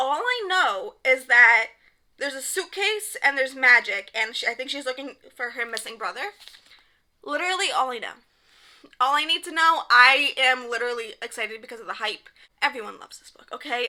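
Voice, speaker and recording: Raising and projecting her voice, a woman with a high pitch and a bright, sharp tone talks at a fairly quick pace with lively intonation. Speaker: book reviewer. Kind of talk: casual, enthusiastic. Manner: fast talker.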